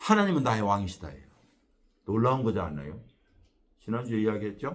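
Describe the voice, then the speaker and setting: This is a man speaking. He has a Jeolla accent. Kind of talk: preaching, lecturing.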